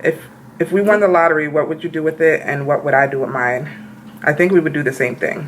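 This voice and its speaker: Talking at a very fast pace, a woman with a very deep, low pitch uses ordinary pitch variation. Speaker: beauty vlogger. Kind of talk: casual chat.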